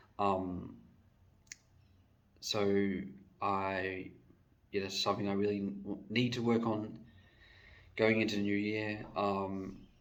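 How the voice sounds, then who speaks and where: Audible room echo surrounds a man speaking at a very slow pace with a fairly low pitch. His intonation is monotone and flat, with long, frequent pauses. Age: 20s. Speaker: vlogger. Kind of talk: casual monologue. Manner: hesitant, many fillers.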